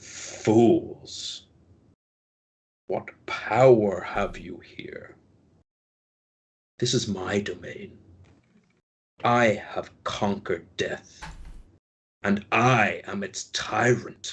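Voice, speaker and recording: A man puts on a raspy, booming character voice at a medium pitch. He talks very slowly, with long, frequent pauses. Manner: menacing, domineering.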